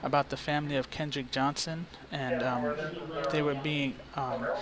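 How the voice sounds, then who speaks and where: A man's fairly high-pitched voice holds fairly even intonation against noticeable background noise. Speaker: citizen journalist. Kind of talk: phone call to police department. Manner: hesitant, many fillers.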